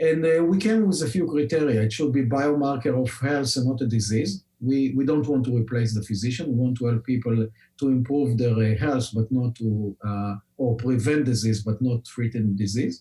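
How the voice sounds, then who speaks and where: A man with an Israeli accent speaks at a moderate pace with hardly any pauses. His loudness stays very even. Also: medium pitch for a man, ordinary pitch variation. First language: Hebrew. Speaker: scientist and company founder. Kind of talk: podcast interview. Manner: many filler words, hesitant.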